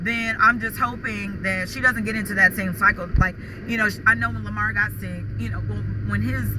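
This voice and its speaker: Noticeable background noise around a woman talking at a moderate pace. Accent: American. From New York. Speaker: vlogger. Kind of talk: casual vlog monologue. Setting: in a car.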